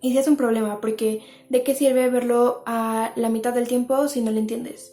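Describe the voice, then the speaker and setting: A woman's voice sits high in pitch yet has a dark, mellow tone. Her intonation is monotone and flat. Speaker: lifestyle YouTuber. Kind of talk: advice monologue to camera. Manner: fast.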